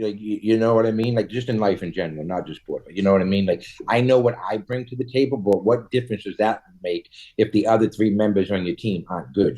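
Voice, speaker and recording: A man with a fairly low pitch and a dark, mellow tone talks at a fairly quick pace. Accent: Boston. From Boston, US. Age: 40s. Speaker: cannabis entrepreneur. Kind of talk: casual interview chat. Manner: halting, repetitive fillers.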